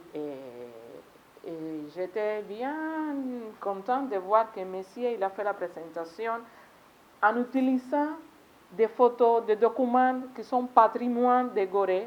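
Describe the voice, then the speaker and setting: With a Spanish accent and a fairly high pitch, a woman talks at a very slow pace, leaving long, frequent pauses, with ordinary pitch variation and big swings in loudness over noticeable background noise. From Cuba. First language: Spanish (speaking French). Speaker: foreign delegate at seminar. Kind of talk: conference speech. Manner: halting, with self-corrections.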